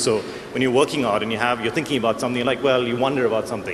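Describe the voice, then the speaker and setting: Over noticeable background noise, a man talks at a very fast pace. His voice is medium in pitch, with an American accent. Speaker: panelist on technology. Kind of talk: panel discussion.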